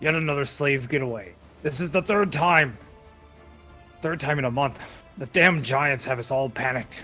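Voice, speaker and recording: A man uses a gruff, growling, put-on character voice at a fairly high pitch and a moderate pace, with long, frequent pauses. Clear music plays in the background. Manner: grunting, growling.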